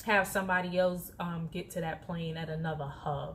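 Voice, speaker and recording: Her delivery moves at a moderate pace. The woman sounds somewhat breathy. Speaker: flight attendant vlogger. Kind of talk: casual vlog talk. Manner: soft-spoken when others near; animated.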